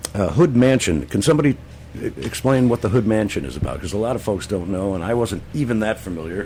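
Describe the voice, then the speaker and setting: Noticeable background noise is present. Over it, a man talks with lively intonation. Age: 70s. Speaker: radio host. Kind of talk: casual chat.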